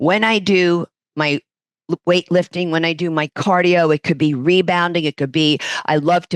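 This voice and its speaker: The speaker has a New York accent and talks at a moderate pace with fairly even intonation. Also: woman, dry, close sound with no echo. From New York, Brooklyn. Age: 60s. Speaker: fitness instructor and massage therapist. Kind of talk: podcast interview.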